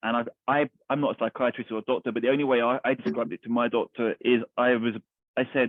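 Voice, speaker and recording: A man with a London accent talks at a very fast pace. His pitch is medium and his intonation fairly even. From East London. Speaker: army veteran, charity founder. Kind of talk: interview answer.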